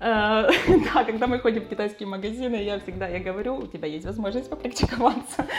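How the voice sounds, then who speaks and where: A fairly high-pitched woman with lively intonation and hardly any pauses, music in the background. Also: fairly quick pace. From Ukraine, Dnipro. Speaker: insurance agent and English teacher. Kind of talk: casual interview.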